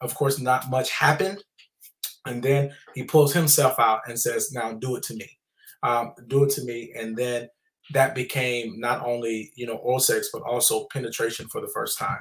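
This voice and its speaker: Somewhat breathy, a man speaks with an American accent, a medium pitch and ordinary pitch variation. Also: moderate pace, big swings in loudness. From US South. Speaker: trauma nonprofit founder and author. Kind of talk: testimony.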